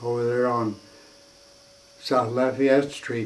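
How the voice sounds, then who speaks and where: Moderate-paced speech from a man in an American accent, amid noticeable background noise. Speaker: war veteran. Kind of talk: interview answer.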